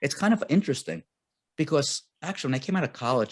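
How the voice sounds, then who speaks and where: Over a dry, close sound with no echo, a man talks very fast with vocal fry and very wide pitch swings. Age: 60s. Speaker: real estate investor. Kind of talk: casual chat.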